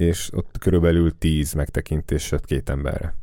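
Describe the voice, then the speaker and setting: A man talks in a very deep, low pitch with ordinary pitch variation. His tone is dark and mellow. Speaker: podcast host. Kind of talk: casual chat.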